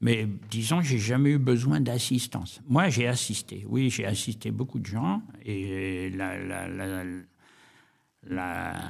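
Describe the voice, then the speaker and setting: A man speaks at a very slow pace with a fairly low pitch and ordinary pitch variation. Long, frequent pauses break up his speech, and the room echo is audible. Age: 80s+. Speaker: war veteran. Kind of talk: interview testimony. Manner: halting.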